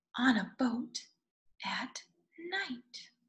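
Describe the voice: A woman's fairly high, fairly bright voice, very slow in pace and lively in intonation, with audible room echo.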